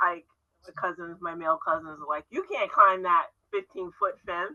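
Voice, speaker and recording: This woman has an ordinary speaking voice, medium in pitch, delivered at a moderate pace with fairly even intonation. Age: 60s. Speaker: interview host. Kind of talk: interview conversation.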